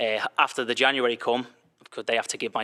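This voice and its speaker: With a Liverpool accent, a man talks at a fairly quick pace in a bright, sharp tone, his medium pitch held monotone and flat, in a dry, close sound with no echo. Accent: Liverpool (Scouse) English. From England, Liverpool. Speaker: soccer coach. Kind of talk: interview.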